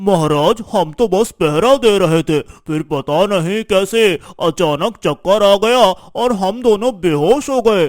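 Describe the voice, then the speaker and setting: A man performs a cartoonish character voice at a high pitch with lively intonation. He delivers it at a fairly slow pace. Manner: hesitant, deferential.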